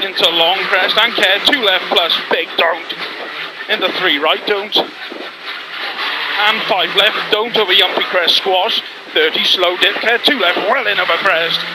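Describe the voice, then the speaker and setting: Loud background noise fills the recording, though the sound itself is dry with no echo. The speech moves at a fairly slow pace. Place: car. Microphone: headset.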